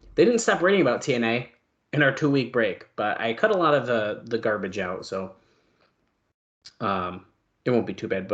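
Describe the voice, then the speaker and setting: A man puts on a raspy character voice at a medium pitch, with lively intonation. He talks at a moderate pace, leaving long, frequent pauses. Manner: talking fast.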